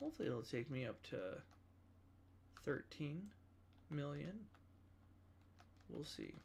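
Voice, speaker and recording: The speech is mumbled, fairly slow and broken by long, frequent pauses. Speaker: gaming livestreamer. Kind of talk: casual livestream commentary. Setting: livestream. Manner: mumbling.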